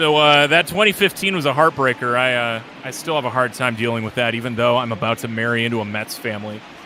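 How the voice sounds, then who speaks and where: Noticeable background noise sits behind a man speaking at a medium pitch with ordinary pitch variation. He talks at a very fast pace with hardly any pauses. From US Midwest, Lake Michigan area. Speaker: play-by-play announcer. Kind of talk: live commentary. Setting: online live stream.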